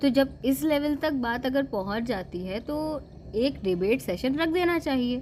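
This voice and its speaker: A woman with a high pitch and lively intonation. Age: 20s. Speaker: vlogger. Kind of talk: casual opinion monologue. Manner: animated.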